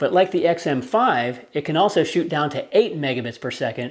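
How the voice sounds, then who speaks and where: A man is speaking. His pitch is fairly high. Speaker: photography YouTuber. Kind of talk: camera review. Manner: fast.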